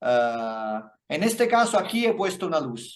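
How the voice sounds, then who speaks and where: This man talks at a fairly slow pace in a fairly high pitch, with very wide pitch swings. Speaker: lighting visualization instructor and author. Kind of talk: Q&A after lecture. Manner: halting, with fillers and self-corrections.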